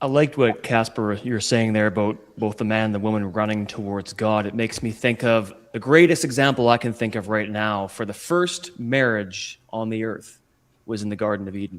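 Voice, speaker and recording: A man with a fairly low pitch talks at a moderate pace with ordinary pitch variation and hardly any pauses. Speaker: spiritual strategist and guest. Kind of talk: podcast interview answer, sermon-like talk about faith and marriage. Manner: passionate, earnest.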